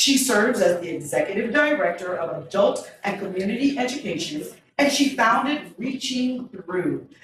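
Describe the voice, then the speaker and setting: With noticeable background noise and audible room echo, a woman of fairly high pitch speaks at a moderate pace with lively intonation. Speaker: event MC and local educator. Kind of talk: event hosting and speaker introductions. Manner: loud.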